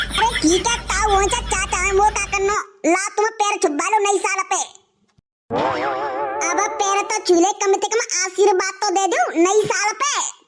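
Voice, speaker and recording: A cartoonish character voice with a playful tone moves at a moderate pace, leaving long, frequent pauses over music in the background. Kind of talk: rustic cartoon comedy. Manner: cheeky, playful.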